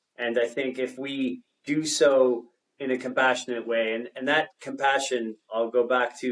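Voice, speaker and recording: In a Canadian accent, a man speaks at a medium pitch and a moderate pace with monotone, flat intonation. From Canada, Toronto. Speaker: entrepreneur and technologist. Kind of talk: podcast interview. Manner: halting, many fillers.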